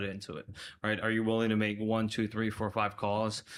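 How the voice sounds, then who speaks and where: In an American accent, a man talks with a fairly low pitch and a bright, sharp tone. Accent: Chicago accent, comes out at times. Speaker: logistics manager. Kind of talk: podcast interview.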